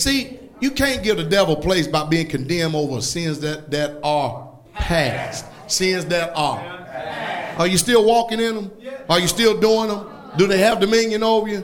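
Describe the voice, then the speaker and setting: Animated, lively intonation and a moderate pace, in a Southern US accent, over noticeable background noise. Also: man, high pitch for a man. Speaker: preacher. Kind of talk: sermon. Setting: church with congregation. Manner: animated, emphatic, call-and-response with the congregation; blunt, scolding yet joking.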